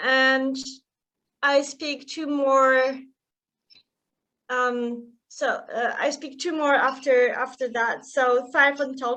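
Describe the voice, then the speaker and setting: A woman's raised, projected voice, high in pitch with a bright, sharp tone, flat and monotone, at a very slow pace with long, frequent pauses, in a non-native accent. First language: not English. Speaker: author. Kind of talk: casual interview chat.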